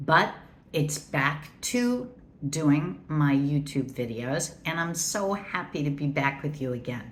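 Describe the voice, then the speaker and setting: A woman speaks very slowly in a somewhat breathy voice with a very deep, low pitch. Her intonation is lively, and room echo is audible. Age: 60s. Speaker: beauty YouTuber. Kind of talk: makeup product review. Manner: casual, chatty.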